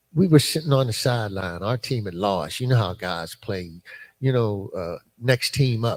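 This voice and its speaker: Delivered at a moderate pace with lively intonation, the somewhat breathy voice comes through in a very clean recording with a silent background. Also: man. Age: 70s. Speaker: former prisoner and recovery mentor. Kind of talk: testimony. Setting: live podcast at a church conference. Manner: halting, many fillers.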